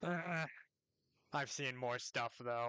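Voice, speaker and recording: This man uses a put-on character voice at medium pitch, with ordinary pitch variation and a dry, close sound with no echo. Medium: actual play.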